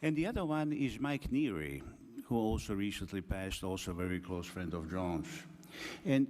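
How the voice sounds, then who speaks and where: A man's pitch swings very widely amid audible room echo. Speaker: academic speaker. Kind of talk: conference talk. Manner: slow.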